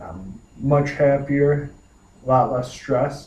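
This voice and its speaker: This is a man speaking. He has an American accent. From US Midwest, Michigan (Canton). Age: 20s. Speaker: paramedic. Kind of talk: personal introduction monologue. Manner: halting, with fillers.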